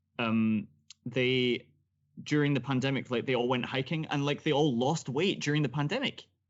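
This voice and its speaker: A man with a Scottish accent talks at a moderate pace in a medium-pitched voice. His loudness stays very even, and his pitch varies in an ordinary way. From Scotland. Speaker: podcast host. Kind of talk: casual interview chat.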